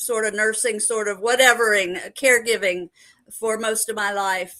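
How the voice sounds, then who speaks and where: The voice has a bright, sharp tone and fairly even intonation at a moderate pace. The background is quiet. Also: woman. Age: 70s. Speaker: psychic medium. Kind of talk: interview.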